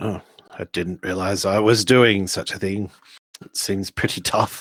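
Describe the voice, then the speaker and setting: A man uses a put-on character voice, raspy and fairly low, with monotone, flat intonation. He speaks at a moderate pace with big swings in loudness, in a dry, close sound with no echo. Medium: actual play. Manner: blunt, condescending.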